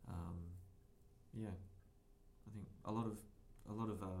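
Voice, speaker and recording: With long, frequent pauses and fairly even intonation, a man talks in a fairly low, somewhat breathy voice amid audible room echo. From northern England, Sheffield. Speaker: podcast co-host, game developer. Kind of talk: tutorial; casual chat.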